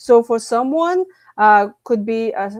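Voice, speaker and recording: A woman with a Lithuanian accent. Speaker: stress management coach and author. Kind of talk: podcast interview. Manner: halting, with fillers.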